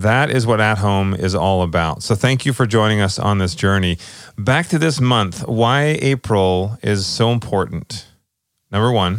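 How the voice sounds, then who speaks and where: In a very clean recording with a silent background, a man with a plain, everyday voice speaks fairly slowly at a fairly low pitch, with ordinary pitch variation and very even loudness. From Canada, British Columbia. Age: 30s. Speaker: podcast co-host. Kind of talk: casual chat.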